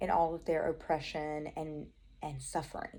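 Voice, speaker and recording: A woman talks in a Southern US accent. Her voice is very deep and low, with a dark, mellow tone. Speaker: Bible study vlogger. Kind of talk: Bible study talk. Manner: casual, chatty.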